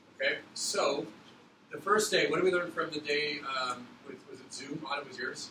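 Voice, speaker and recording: With audible room echo and noticeable background noise, a man speaks at a fairly high pitch with ordinary pitch variation. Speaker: teacher. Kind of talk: classroom instruction. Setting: classroom. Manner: fast; mumbling.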